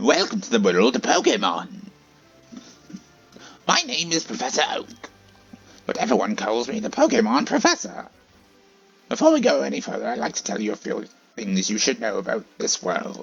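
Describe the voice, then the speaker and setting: Faint music plays in the background as a man puts on a character voice. He speaks at a moderate pace with a high pitch. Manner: welcoming, instructional.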